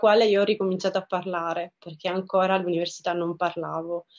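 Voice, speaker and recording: A woman is speaking. The background is quiet. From southern Italy, Reggio Calabria; southern Italy. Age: 30s. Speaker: photographer and festival director. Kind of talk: personal interview monologue. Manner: hesitant, many fillers and repetitions. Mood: warm, reflective. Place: home room. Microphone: webcam.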